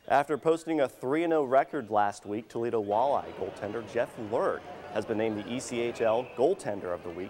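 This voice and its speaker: This man has an unremarkable speaking voice with a medium pitch. He talks at a fairly quick pace with lively intonation. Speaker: sports anchor. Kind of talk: local TV sports news anchor read.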